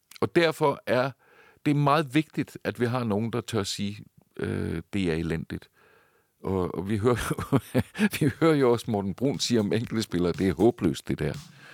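A man's medium-pitched voice at a fairly slow pace, with very wide pitch swings and big loudness swings, in a very clean recording with a silent background and a dry, close sound with no echo. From Denmark. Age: 60s. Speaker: journalist and author. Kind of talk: interview conversation. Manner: hesitant, frequent filler sounds.

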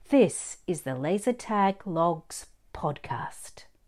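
On a very clean recording with a silent background, the speaker's enthusiastic tone and very wide pitch swings come through in an Australian accent. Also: woman. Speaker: podcast host and business owner. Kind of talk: scripted podcast trailer.

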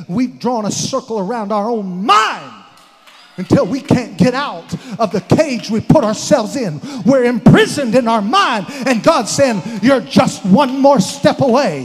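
Amid noticeable background noise, a man speaks at a fairly slow pace. His pitch is extremely high and his tone animated. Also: lively intonation. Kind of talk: sermon, preacher in full flow, exhorting a congregation. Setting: church. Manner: animated, emphatic, call-and-response, urging the crowd; repetitive, rising in intensity toward an altar call.

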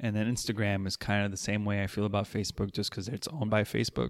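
On a very clean recording with a silent background and a dry, close sound with no echo, a man talks very fast in an American accent with fairly even intonation. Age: 30s. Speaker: martial arts instructor. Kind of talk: casual chat.

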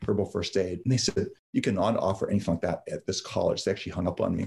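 A man's voice is fairly low and somewhat breathy. The recording is very clean, with a silent background. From Yugoslavia, raised in London, Ontario. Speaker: herbalist and permaculture land center founder. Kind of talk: interview. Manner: halting, repeats words.

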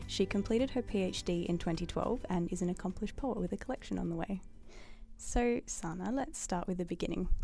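Music plays behind a woman speaking at medium pitch. Her pitch varies in an ordinary way. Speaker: podcast interviewer. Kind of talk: interview.

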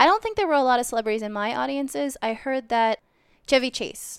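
A woman talks with lively intonation in a plain, everyday voice. The recording is very clean, with a silent background. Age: 30s. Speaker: magician and circus performer. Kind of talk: casual interview.

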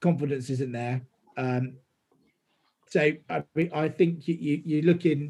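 A man speaks at a fairly slow pace with long, frequent pauses and a fairly high pitch. His somewhat breathy voice has a dark, mellow tone and fairly even intonation. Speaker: football fan. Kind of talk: casual chat.

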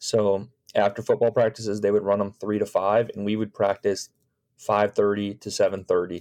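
Monotone, flat intonation at a moderate pace, with a Chicago accent and a quiet background. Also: man, fairly low pitch for a man. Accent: US Midwestern (Chicago area). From Chicago suburbs, US Midwest. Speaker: high school baseball coach. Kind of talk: casual interview.

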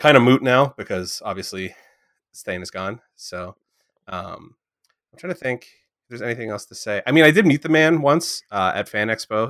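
With a dry, close sound and no echo, a man talks at a fairly quick pace in an ordinary speaking voice, using lively intonation, a medium pitch and big swings in loudness. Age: 30s. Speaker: podcast host. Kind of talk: casual chat.

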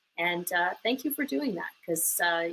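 A woman speaks with a Canadian accent at medium pitch. Her pitch varies in an ordinary way. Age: 50s. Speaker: community service leader. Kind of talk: interview. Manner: hesitant fillers.

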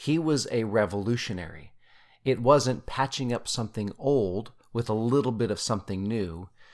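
A man's medium-pitched voice with a Utah accent, ordinary pitch variation and a moderate pace, on a very clean recording with a silent background. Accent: Utah American English. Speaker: podcast host, scripture study. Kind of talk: casual scripture study discussion; reading scripture aloud.

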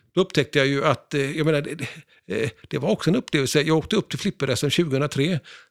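An ordinary speaking voice, this man's has a fairly high pitch and ordinary pitch variation, moving at a fairly quick pace with hardly any pauses in a dry, close sound with no echo. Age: 60s. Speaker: pinball historian and collector. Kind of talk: casual interview.

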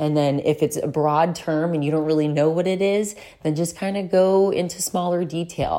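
On a very clean recording with a silent background, a dark, mellow voice moves at a moderate pace with fairly even intonation. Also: woman, fairly low pitch for a woman. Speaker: podcast host and wellness coach. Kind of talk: casual solo monologue. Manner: rambling, informal.

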